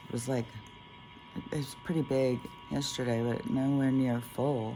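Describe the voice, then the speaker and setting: The delivery keeps a moderate pace. Behind it, there is music. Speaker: spiritual vlogger. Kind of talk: casual monologue vlog. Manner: halting, many fillers.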